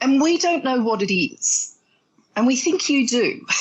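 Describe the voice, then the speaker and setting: In an Australian accent, a woman talks at a moderate pace with a high pitch and very wide pitch swings. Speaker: relationship coach and therapist. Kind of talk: interview.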